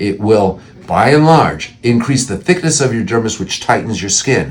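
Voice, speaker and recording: This man has an ordinary speaking voice at a medium pitch. His intonation is lively. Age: 60s. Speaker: plastic surgeon. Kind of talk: informational talk to camera. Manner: conversational, with frequent fillers and restarts.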